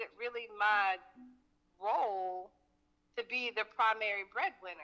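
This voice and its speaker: The voice has an American accent and a bright, sharp tone. Its pitch varies in an ordinary way. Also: woman. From Fort Worth, Texas. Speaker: caller. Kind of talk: call-in discussion. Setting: phone call.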